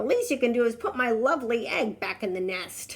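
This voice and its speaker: A woman's put-on character voice, fairly high-pitched, at a fairly quick pace. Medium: read story. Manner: sharp, snappish.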